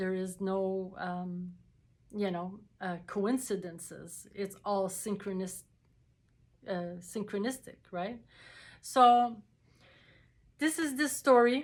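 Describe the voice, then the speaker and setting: This woman speaks very slowly at a medium pitch, with ordinary pitch variation. Her speech has long, frequent pauses. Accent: non-native. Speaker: spiritual video creator. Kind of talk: personal testimony to camera. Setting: talking to a camera. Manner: halting, many fillers and repetitions.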